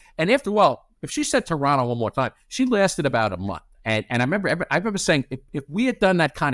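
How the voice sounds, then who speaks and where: In a New York accent, a man's pitch swings very widely, recorded very cleanly against a silent background with a dry, close sound and no echo. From New York City. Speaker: corporate lawyer. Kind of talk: casual interview chat. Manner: rambling.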